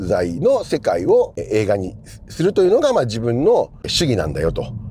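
Light background noise is present, and the sound is dry with no echo. The man's tempo is moderate. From Japan. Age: 50s. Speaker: film journalist; film critic host. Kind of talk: casual monologue. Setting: in a car. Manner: conversational, many fillers. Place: car.

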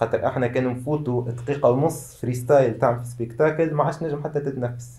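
A man's dark, mellow, somewhat breathy voice with fairly even intonation. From Tunisia. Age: 20s. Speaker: freestyle football athlete; guest. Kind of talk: interview. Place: studio.

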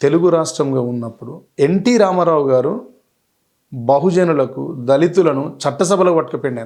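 A man speaks with ordinary pitch variation. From northern Telangana, India (Warangal / Godavarikhani area). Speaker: politician and songwriter. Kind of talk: interview. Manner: animated.

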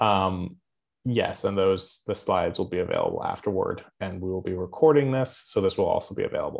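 Against a quiet background, a man's words come out fairly quickly. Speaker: webinar moderator. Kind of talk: webinar moderation. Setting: video call. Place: home room. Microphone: webcam.

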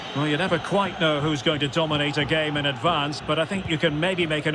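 A man's animated, fairly quick delivery over noticeable background noise. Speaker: football commentator. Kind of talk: live football commentary. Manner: animated, fast-paced play-by-play.

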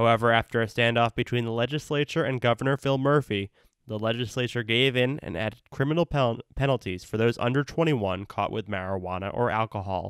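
Here is an unremarkable speaking voice from a man at medium pitch. He talks at a fairly quick pace with ordinary pitch variation. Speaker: student newscaster. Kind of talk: news reading. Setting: remote recording. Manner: formal; steady, brisk delivery.

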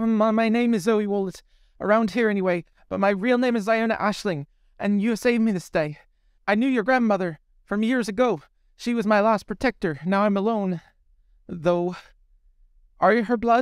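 Doing a shaky, put-on character voice pitched high, a man talks at a moderate pace with long, frequent pauses on a very clean recording with a silent background. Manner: fast and trembling.

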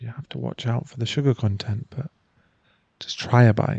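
A man speaks in a somewhat breathy voice with a dark, mellow tone, recorded in a dry sound with no echo and a quiet background. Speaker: ASMR performer. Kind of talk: ASMR boyfriend roleplay, whispered scripted audio drama. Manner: affectionate, gently teasing and reassuring.

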